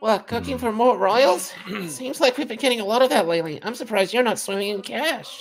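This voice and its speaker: A female-sounding voice uses a put-on character voice. Its pitch is fairly high for a woman. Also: fairly quick pace. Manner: friendly, chatty.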